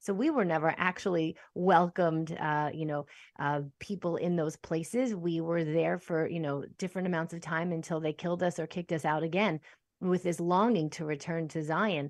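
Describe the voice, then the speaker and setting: This woman's fairly low voice keeps fairly even intonation at a moderate pace against a quiet background. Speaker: podcast host. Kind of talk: casual interview. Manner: hesitant, filler-heavy.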